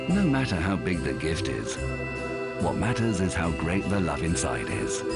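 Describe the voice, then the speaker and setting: Speech comes at a moderate pace over loud background music. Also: man. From British. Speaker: voice actor. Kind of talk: TV commercial read. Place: booth.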